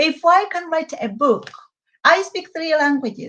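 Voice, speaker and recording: This woman speaks with lively intonation and a bright, sharp tone. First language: Hehe. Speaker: children's book author. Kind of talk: interview.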